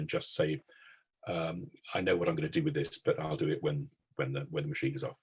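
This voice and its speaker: Very fast, somewhat breathy speech from a man with an English accent, fairly low in pitch yet swinging very widely. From England. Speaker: concert organist. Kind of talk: interview. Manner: halting.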